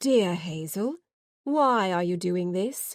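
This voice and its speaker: Using a put-on character voice, a woman speaks at a fairly slow pace with a medium pitch. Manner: calm, mellow.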